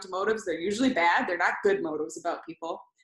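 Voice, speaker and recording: Lively intonation carries over a quiet background, with audible room echo. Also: woman. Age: 30s. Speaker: ministry executive director, former college basketball player. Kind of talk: faith testimony interview. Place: home room. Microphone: video call.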